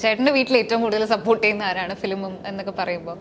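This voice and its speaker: A woman talks at a medium pitch with fairly even intonation. Noticeable background noise runs underneath. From Thiruvalla, Pathanamthitta, Kerala. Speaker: interviewer. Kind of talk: interview.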